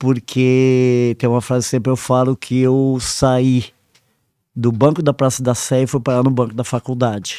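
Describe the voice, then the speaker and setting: A man speaks at a fairly slow pace in a medium pitch, his tone dark and mellow and his intonation monotone and flat. Loudness stays very even, and the very clean recording has a silent background and a dry, close sound with no echo. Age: 60s. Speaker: environmental educator. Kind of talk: interview. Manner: hesitant.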